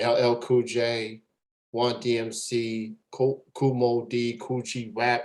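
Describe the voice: Man at a slow pace, slightly mellow tone, little pitch movement. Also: medium pitch for a man.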